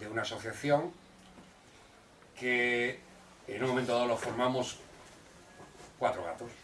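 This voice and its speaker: The speaker goes at a fairly slow pace, with audible echo from the room. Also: man. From Catalonia, moved from Córdoba as a child. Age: 60s. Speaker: activist association president. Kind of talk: public talk. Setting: community hall with audience.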